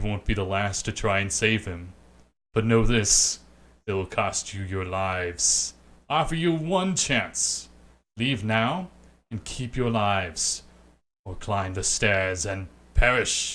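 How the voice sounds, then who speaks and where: Putting on a booming character voice, a man speaks at a fairly low pitch and a fairly slow pace with ordinary pitch variation and long, frequent pauses, on a very clean recording with a silent background. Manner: menacing, ominous.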